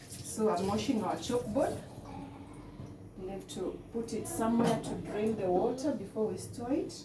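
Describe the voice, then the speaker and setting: A Kenyan accent with audible room echo and noticeable background noise. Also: woman, fairly high pitch for a woman, ordinary pitch variation, moderate pace. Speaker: cooking vlogger. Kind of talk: cooking tutorial. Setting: home kitchen. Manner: halting.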